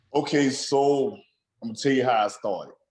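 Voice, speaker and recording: A man with a Southern accent. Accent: Southern, noticeably country. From Alabama. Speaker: food blogger, former engineer. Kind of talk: podcast interview. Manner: repeats words, halting restarts.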